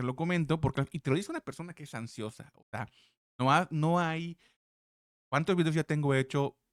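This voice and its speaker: A man talks with ordinary pitch variation in a dry, close sound with no echo. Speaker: crypto trading analyst. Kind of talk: market analysis tutorial. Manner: halting, stumbles over words.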